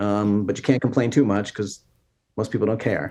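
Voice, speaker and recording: Fairly quick speech from a man, dark, mellow tone, fairly even intonation. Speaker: former TV reporter and speaker. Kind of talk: interview.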